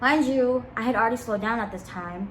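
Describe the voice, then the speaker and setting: A woman at a fairly quick pace, animated in tone and lively in intonation, with noticeable background noise and audible room echo. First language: not English. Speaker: vlogger. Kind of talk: casual storytime.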